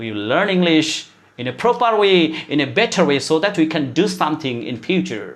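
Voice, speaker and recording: A man at a fairly high pitch with very wide pitch swings and a moderate pace. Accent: Bangladeshi. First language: Bengali. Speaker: English teacher. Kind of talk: motivational lecture. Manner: halting with many fillers.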